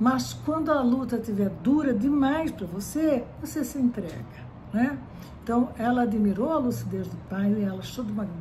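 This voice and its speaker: With audible room echo, a woman speaks at a fairly slow pace while her pitch swings very widely. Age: 60s. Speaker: psychology professor. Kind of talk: lecture. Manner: frequent fillers and repetitions.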